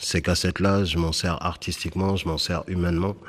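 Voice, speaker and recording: A man's voice amid noticeable background noise. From France, Bordeaux (Senegalese Fula family). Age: 40s. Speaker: slam poet. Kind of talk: interview in a radio report.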